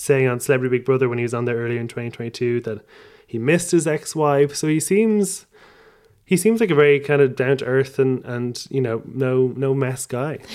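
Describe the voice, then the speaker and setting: A man speaks in an Irish accent. His pitch is fairly high. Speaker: podcaster and comedian. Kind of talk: casual chat.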